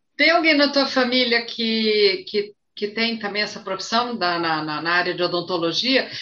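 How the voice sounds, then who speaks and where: A woman's fairly high voice, a normal speaking voice, with lively intonation, a fairly slow pace and hardly any pauses. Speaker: flight attendant and live stream moderator. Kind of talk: live stream interview.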